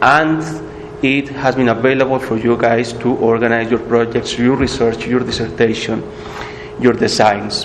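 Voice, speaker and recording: A man's voice with a Spanish accent and fairly even intonation, amid noticeable background noise and audible room echo. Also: medium pitch for a man, moderate pace. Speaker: workshop instructor. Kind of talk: tutorial.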